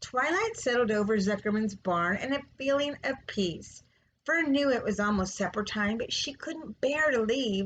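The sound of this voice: This is an unforced reading voice.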